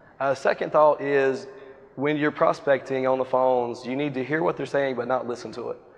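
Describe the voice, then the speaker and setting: With an American accent, a man speaks at medium pitch and fairly even intonation over noticeable background noise. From US South, Wilmington, North Carolina. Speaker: real estate agent. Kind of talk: interview on stage. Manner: fast.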